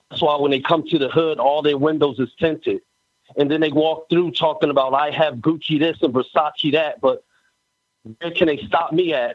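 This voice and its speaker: A man speaks in an ordinary speaking voice at a fairly high pitch. His pace is moderate. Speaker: spoken word poet, contest participant. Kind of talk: spoken word poetry, rhymed and rhythmic.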